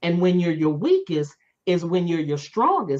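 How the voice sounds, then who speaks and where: A woman with a plain, everyday voice, fairly low in pitch, at a fairly slow pace with ordinary pitch variation. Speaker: author and speaker. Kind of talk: interview.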